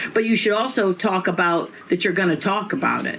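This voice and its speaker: Over noticeable background noise and audible room echo, a woman with an American accent talks at a moderate pace with ordinary pitch variation. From Northeast Ohio. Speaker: stand-up comedian. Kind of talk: stand-up. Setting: stage with audience. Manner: animated.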